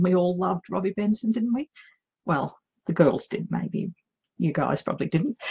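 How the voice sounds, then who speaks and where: With an Australian accent, a woman speaks at a medium pitch and a moderate pace, with ordinary pitch variation. Her voice is somewhat breathy with a dark, mellow tone, and the sound is dry and close with no echo. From Australia, outback Queensland. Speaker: romance author. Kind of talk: live vlog chat. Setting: home office livestream. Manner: hesitant, many fillers.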